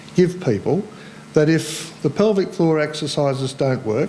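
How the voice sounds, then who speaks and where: Over noticeable background noise, a man with an Australian accent talks at a fairly slow pace and fairly high pitch, with ordinary pitch variation. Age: 60s. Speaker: cancer survivor and support group volunteer. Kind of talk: talk to audience. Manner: casual.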